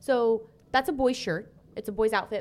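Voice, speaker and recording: A woman speaks at a moderate pace with a Texan accent. The recording is very clean, with a silent background. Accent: Texan twang. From Texas. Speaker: co-host. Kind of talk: casual chat. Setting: studio.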